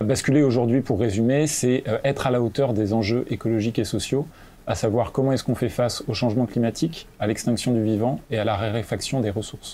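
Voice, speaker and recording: A dark, mellow tone with fairly even intonation and very even loudness. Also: man, medium pitch for a man, fairly quick pace. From France (Normandy and La Rochelle). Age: 20s. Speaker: climate activist and author. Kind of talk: interview. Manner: hesitant, with frequent fillers.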